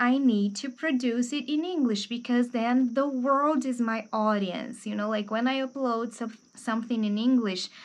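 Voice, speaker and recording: Her pitch high, a woman keeps a moderate pace with hardly any pauses. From Brazil. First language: Portuguese. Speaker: book youtuber and English teacher. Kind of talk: casual book review monologue. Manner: informal with frequent fillers.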